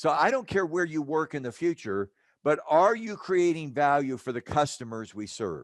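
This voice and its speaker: Over a quiet background, a man with an American accent and a fairly high pitch speaks at a moderate pace with very wide pitch swings. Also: dry, close sound with no echo. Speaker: HR professor and consultant. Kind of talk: podcast interview.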